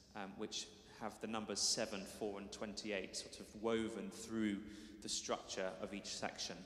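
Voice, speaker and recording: There is audible room echo as a man speaks very slowly. His pitch is fairly low and his intonation fairly even. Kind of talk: spoken programme introduction to an audience. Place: church.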